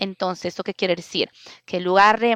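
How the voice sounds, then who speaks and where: A woman is speaking. She has an Italian accent. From Italy. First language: Italian (speaking Spanish). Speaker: open-source community organizer. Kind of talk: interview. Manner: halting, many fillers.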